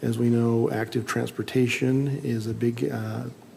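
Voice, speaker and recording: Noticeable background noise sits behind a man with an American accent who speaks at medium pitch with fairly even intonation. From Utah, Salt Lake City area. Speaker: planning commissioner. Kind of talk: public meeting deliberation.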